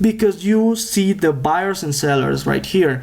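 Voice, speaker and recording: With noticeable background noise around him, a man speaks in a Spanish accent at a fairly slow pace, his pitch varying in an ordinary way. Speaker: day trader and trading educator. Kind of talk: tutorial. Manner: halting.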